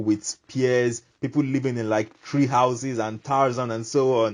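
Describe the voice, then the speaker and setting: An American accent at a moderate pace. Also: man. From Nigeria. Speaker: YouTuber. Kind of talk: vlog monologue. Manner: animated.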